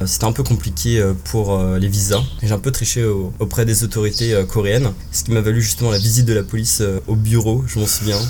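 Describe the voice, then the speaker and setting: Through noticeable background noise and audible room echo, a man talks at a moderate pace with a fairly low pitch and ordinary pitch variation. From France, Paris region and Angers. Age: 20s. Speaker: expatriate, restaurant worker. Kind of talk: casual interview.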